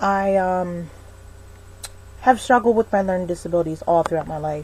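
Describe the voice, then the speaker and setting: A woman with an American accent speaks fairly quickly in a somewhat breathy voice at a medium pitch. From US South. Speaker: vlogger. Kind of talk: personal vlog monologue. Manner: halting, many fillers.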